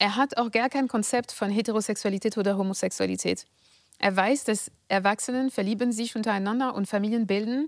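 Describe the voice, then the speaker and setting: Recorded very cleanly with a silent background, a woman with a French accent and fairly high pitch talks at a fairly quick pace with fairly even intonation. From France, near Paris. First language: French (speaking German). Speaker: political scientist and author. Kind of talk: interview. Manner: hesitant, many fillers.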